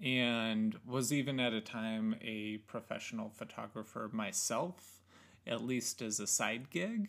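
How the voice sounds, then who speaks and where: Here a man speaks at a medium pitch. His pace is very slow. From Oregon. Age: 30s. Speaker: photo lab worker. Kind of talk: casual chat. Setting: living room.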